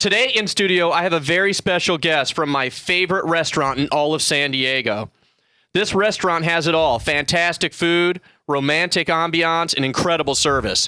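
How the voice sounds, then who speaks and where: Fairly quick speech with a bright, sharp tone and ordinary pitch variation comes through a very clean recording with a silent background. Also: man. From US Midwest, Missouri. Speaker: radio host, realtor. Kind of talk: radio interview. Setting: studio.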